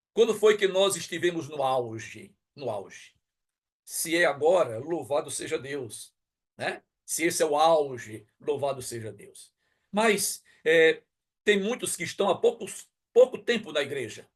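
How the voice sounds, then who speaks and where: The voice swings very widely in pitch. The background is quiet. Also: man, fairly high pitch for a man. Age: 60s. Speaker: pastor. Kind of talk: sermon. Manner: emphatic, repetitive rhetorical questions.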